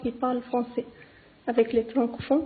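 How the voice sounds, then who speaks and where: Noticeable background noise surrounds a woman speaking at a high pitch with a non-native accent. Her intonation is monotone and flat. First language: not French (speaking French). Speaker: language learner. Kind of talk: testimony.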